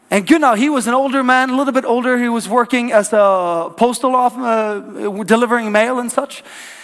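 Speaking with a Norwegian accent, a man goes at a fairly quick pace with hardly any pauses and an extremely high pitch for a man. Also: fairly even intonation. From Norway. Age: 30s. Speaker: pastor. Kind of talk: sermon. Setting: church.

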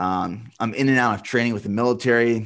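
In an ordinary speaking voice, a man with an American accent talks at a moderate pace and fairly low pitch against a quiet background. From Central Pennsylvania. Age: 30s. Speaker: endurance athlete and business owner. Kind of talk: interview conversation.

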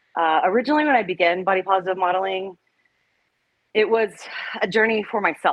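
Very fast speech broken by long, frequent pauses, with an American accent, very even loudness and ordinary pitch variation. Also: woman, medium pitch for a woman. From Oklahoma/Texas, US South. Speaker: therapist and body positive model. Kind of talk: interview.

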